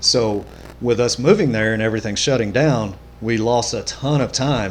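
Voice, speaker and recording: A man talks at a fairly quick pace with an American accent. His pitch is medium, with ordinary variation. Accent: rural small-town. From US Midwest, rural southeast Missouri. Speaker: podcast guest. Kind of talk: casual chat.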